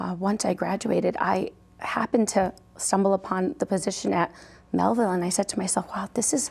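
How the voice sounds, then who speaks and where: The recording is very clean with a silent background. A woman with a medium pitch speaks at a fairly quick pace with vocal fry. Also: ordinary pitch variation. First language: Portuguese. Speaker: school superintendent. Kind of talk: interview. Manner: animated.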